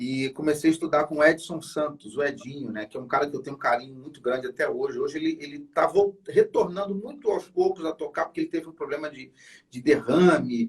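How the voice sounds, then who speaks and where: Talking at a fairly quick pace, a man uses a fairly high pitch and ordinary pitch variation. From Brazil, Niterói (Rio de Janeiro). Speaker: saxophonist. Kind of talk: interview. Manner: casual, hesitant with repetitions.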